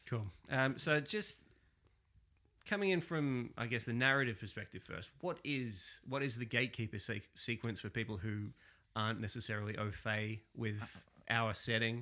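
With an Australian accent, a man talks at a medium pitch in a bright, sharp tone. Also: ordinary pitch variation, moderate pace, very clean recording, silent background. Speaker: podcast host and wargamer. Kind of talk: casual chat podcast.

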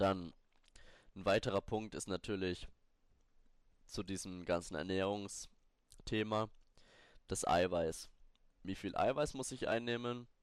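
A man's fairly low voice at a very slow pace, with long, frequent pauses, ordinary pitch variation, and a very clean recording over a silent background. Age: 20s. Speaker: fitness podcaster. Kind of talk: solo podcast tutorial. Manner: casual, with many fillers and restarts.

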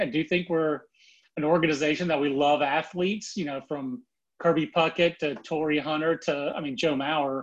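A man with an American accent talks at a moderate pace. The background is quiet. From North Carolina. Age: 40s. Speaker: baseball scout. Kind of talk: casual interview. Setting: phone call.

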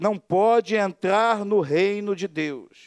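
Speaking at a very slow pace, a man with a high pitch is heard in a dry, close sound with no echo on a very clean recording with a silent background. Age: 50s. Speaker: pastor. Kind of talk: sermon. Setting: church.

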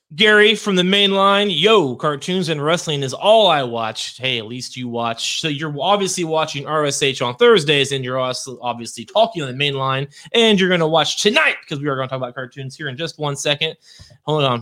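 Against noticeable background noise, a man with a fairly high pitch speaks at a fairly quick pace with lively intonation. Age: 30s. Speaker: podcast co-host. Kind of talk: casual chat. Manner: animated.

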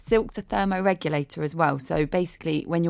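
On a very clean recording with a silent background, a woman with a fairly low voice speaks with an English accent. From England. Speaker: fashion stylist and editor. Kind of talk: casual chat. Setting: studio.

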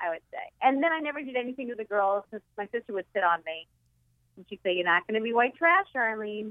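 The delivery is very fast, with a Boston accent and lively intonation. Loudness swings in big ways throughout. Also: woman, fairly high pitch for a woman. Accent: Boston East Coast. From Boston area, Massachusetts. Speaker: comedian guest. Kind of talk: casual chat.

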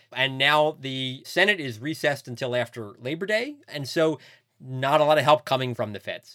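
Moderate pace and ordinary pitch variation from a man, fairly high in pitch, in a normal speaking voice. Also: very clean recording, silent background. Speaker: podcast co-host, newspaper reporter. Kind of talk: casual chat and interview.

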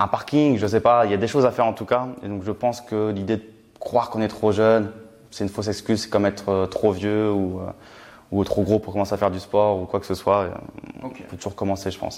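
With fairly even intonation and a fairly low pitch, a man talks very fast. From Champagne, France (Reims). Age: 20s. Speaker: young property investor and author. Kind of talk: casual interview.

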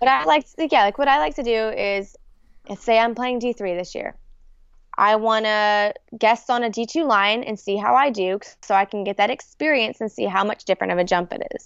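An unremarkable speaking voice at a moderate pace. Pitch varies in an ordinary way. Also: woman, fairly high pitch for a woman. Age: 20s. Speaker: competitive paintball player. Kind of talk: casual chat.

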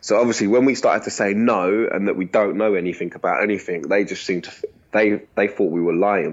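In a London accent, a man speaks at a fairly low pitch with fairly even intonation. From East London, England. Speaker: former prisoner abroad. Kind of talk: interview.

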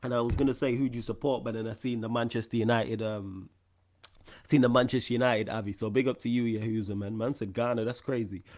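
Talking at a very fast pace, a man speaks at medium pitch. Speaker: live stream host. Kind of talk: casual live Q&A chat. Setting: live stream. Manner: animated, slangy.

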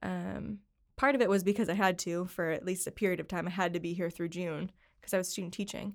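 A woman with an American accent at a very fast pace, with a fairly low pitch, ordinary pitch variation and vocal fry, on a very clean recording with a silent background. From upstate New York, Syracuse. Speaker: office worker at an accounting firm. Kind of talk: casual interview. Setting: studio.

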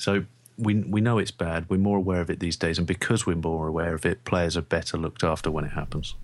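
A man with a London accent at a very fast pace, very deep and low in pitch, with very even loudness, fairly even intonation, and a very clean recording over a silent background. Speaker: sports podcast co-host. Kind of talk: casual chat.

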